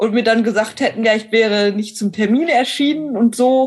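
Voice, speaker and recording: An unremarkable speaking voice, its intonation staying fairly even. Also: woman. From western Germany, Neuss (North Rhine-Westphalia). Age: 20s. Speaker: online editor graduate, blind. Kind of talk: interview.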